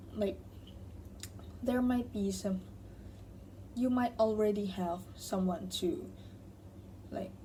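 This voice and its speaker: With audible room echo, a woman speaks at a very slow pace, leaving long, frequent pauses. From Thailand. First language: Thai. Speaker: tarot reader. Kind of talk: tarot reading to camera. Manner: casual, self-correcting.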